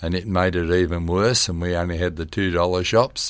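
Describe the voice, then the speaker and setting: Moderate pace and monotone, flat intonation in an Australian accent. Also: man. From Western Sydney, Australia. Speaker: long-serving local councillor. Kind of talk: interview.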